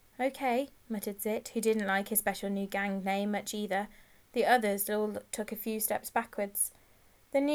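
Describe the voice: Simple, plain reading aloud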